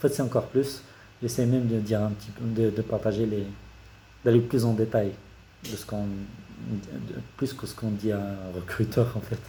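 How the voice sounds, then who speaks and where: Pausing long and often, a man speaks at a moderate pace and fairly low pitch, his tone dark, mellow and somewhat breathy, with fairly even intonation. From Morocco, Casablanca. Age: 30s. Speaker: engineer and YouTuber. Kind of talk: career talk to camera. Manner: hesitant, many fillers.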